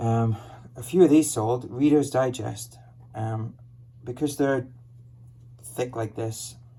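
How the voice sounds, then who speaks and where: Very slow and broken by long, frequent pauses, a somewhat breathy voice with a dark, mellow tone speaks in an American accent with fairly even intonation. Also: man, medium pitch for a man. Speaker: online reseller. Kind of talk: casual product showcase.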